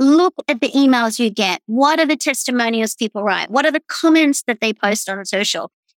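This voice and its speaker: Energetic and animated, a woman with an Australian accent speaks at a high pitch in a dry, close sound with no echo. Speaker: executive strategist and keynote speaker. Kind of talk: interview conversation. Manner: energetic, animated.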